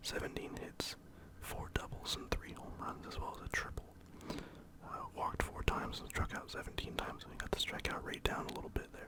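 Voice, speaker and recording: Whispering at a fairly quick pace, a man's volume rises and falls sharply over noticeable background noise. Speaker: ASMR creator and baseball fan. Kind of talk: casual talk to camera, ASMR. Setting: home recording, lo-fi. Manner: whispered, soft-spoken.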